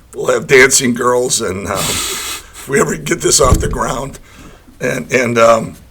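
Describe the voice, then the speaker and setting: Noticeable background noise sits behind a man who talks fairly slowly. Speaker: football betting pundit. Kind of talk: casual chat. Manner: halting, many fillers and repeats.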